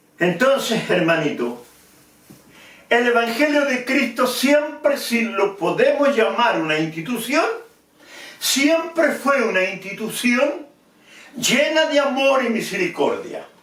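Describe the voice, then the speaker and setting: A man's extremely high voice with lively intonation and very even loudness, at a very slow pace with long, frequent pauses, amid audible room echo and noticeable background noise. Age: 70s. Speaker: preacher. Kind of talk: sermon.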